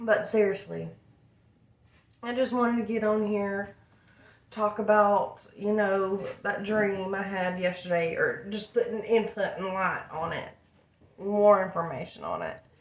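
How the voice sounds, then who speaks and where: In an American accent, the speech moves at a fairly slow pace with long, frequent pauses and fairly even intonation. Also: woman, medium pitch for a woman. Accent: country accent slips out at times. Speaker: vlogger and craft seller. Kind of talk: casual vlog monologue.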